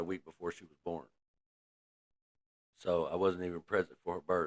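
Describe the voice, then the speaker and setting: Very fast speech from a man with an American accent and a very deep, low pitch. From Michigan. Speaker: person in recovery sharing story. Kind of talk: testimony. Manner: casual, hesitant with fillers.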